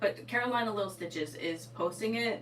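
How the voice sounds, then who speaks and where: A woman with an American accent speaks at a moderate pace with very wide pitch swings, over noticeable background noise and audible room echo. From Eastern Connecticut, New England. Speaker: sewing livestreamer and teacher. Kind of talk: casual livestream chat. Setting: livestream at home. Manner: casual, filler-heavy.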